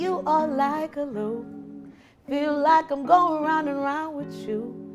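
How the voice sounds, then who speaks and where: Over music in the background, a woman talks at a fairly slow pace with ordinary pitch variation. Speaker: poet. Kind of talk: spoken word poetry performance.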